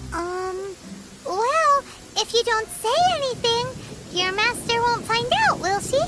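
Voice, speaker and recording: An extremely high, cartoonish character voice moves at a fairly slow pace. Long pauses come often. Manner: gentle, mild.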